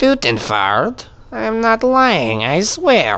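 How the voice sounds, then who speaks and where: A man speaks at a very slow pace in a put-on character voice. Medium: machinima. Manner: ends sentences with a questioning "no?".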